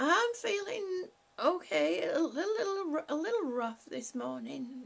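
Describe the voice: A squeaky, put-on character voice at an extremely high pitch, at a fairly slow pace.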